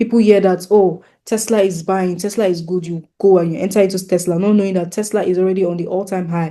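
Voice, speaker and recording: The speech comes at a very fast pace with hardly any pauses. It carries a Nigerian accent. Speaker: forex trading teacher. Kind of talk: tutorial. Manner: repetitive, restarting phrases often.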